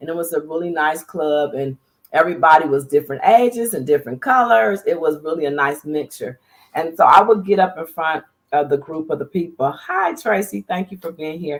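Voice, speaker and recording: Animated and lively in intonation, a woman with an American accent talks at a fairly quick pace in a very deep, low pitch, with big swings in loudness. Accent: slightly country. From US Midwest, Dayton Ohio. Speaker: TV and radio producer, public speaker. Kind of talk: interview conversation.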